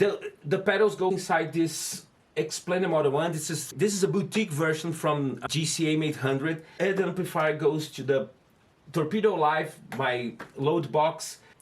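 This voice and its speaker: In a Brazilian accent, a man speaks at a moderate pace with ordinary pitch variation. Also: fairly high pitch for a man. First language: Portuguese. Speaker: guitar gear video host. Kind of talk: casual gear demo talk to camera. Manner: halting, with restarts.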